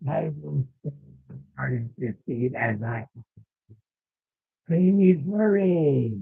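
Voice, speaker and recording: A man uses a nasal, put-on character voice at a fairly high pitch. He talks at a very slow pace with long, frequent pauses. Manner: curt, impatient.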